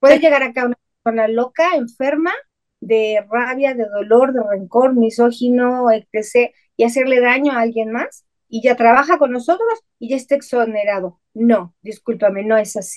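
A woman speaks at a moderate pace in a high pitch with ordinary pitch variation. The sound is dry and close, with no echo. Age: 50s. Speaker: spiritual channeler and psychic. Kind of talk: interview.

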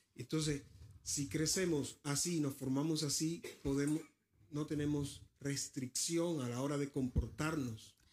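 A man speaks at a very slow pace with a fairly high pitch. His intonation stays fairly even. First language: Spanish (speaking Danish). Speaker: preacher. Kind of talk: sermon.

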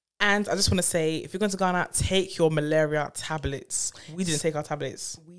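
Speaking in a London accent at a fairly quick pace, the voice shows ordinary pitch variation. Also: woman, very deep, low pitch for a woman. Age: 30s. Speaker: podcast co-host. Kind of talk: casual chat.

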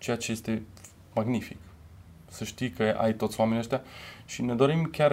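A man talks in a plain, everyday voice at medium pitch. He goes at a fairly quick pace with ordinary pitch variation. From Romania, Timișoara. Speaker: cultural manager and percussionist. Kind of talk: interview.

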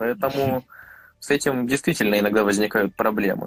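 The recording has a dry, close sound with no echo, carrying a plain, everyday voice with ordinary pitch variation. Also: man. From Vladivostok, Russian Far East. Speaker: podcast co-host, YouTuber. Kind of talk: casual chat.

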